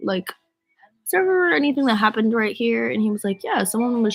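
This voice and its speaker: Swinging very widely in pitch, the voice moves at a fairly quick pace with music in the background. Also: woman. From US Northeast, Rhode Island. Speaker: singer livestreaming to fans. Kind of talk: casual livestream chat. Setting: livestream from bed. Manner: casual, filler-heavy.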